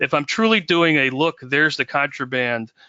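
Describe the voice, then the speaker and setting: A man speaks at a moderate pace. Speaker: digital forensics webinar presenter. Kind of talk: webinar presentation. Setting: online webinar. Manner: halting with fillers.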